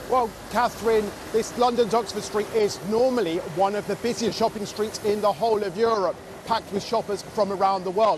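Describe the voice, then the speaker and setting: Noticeable background noise sits under a fairly quick delivery with fairly even intonation. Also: man, high pitch for a man. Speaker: business reporter and presenter. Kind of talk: live news report.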